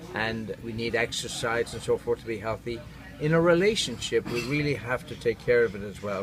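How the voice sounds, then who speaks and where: A man with an Irish accent at a medium pitch, talking at a fairly quick pace over noticeable background noise. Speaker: neurotherapist. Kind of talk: interview. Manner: warm and engaging; halting.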